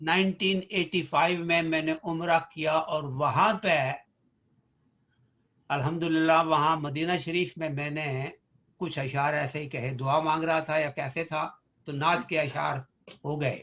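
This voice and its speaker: Fairly even in intonation, a man speaks with a fairly high pitch and a bright, sharp tone. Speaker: physician and poet. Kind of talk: interview.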